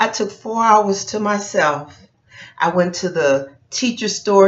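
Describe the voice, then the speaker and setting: A woman talks at a very slow pace. Her pitch swings very widely. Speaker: teacher and video blogger. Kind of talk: casual vlog chat. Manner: chatty, conversational.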